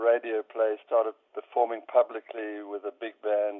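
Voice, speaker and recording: This man talks at a moderate pace. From Rhodesia. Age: 70s. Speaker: jazz composer and bandleader. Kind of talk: interview. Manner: halting.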